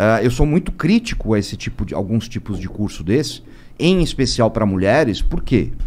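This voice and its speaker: The man talks at a moderate pace. His pitch swings very widely. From Brazil, São Paulo. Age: 50s. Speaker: self-defense and firearms instructor; firearms instructor. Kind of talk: casual podcast interview. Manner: hesitant, repeating words. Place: studio. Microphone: studio mic.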